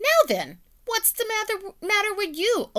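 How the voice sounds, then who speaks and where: Doing a put-on character voice, a woman sounds squeaky at an extremely high pitch and keeps a moderate pace. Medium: read story.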